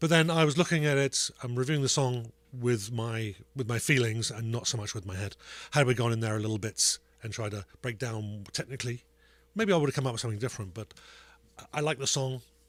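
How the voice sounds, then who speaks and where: At a very fast pace, a man speaks at medium pitch with ordinary pitch variation. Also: very clean recording, silent background. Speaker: podcast co-host, music reviewer. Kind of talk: casual chat. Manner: halting, many fillers.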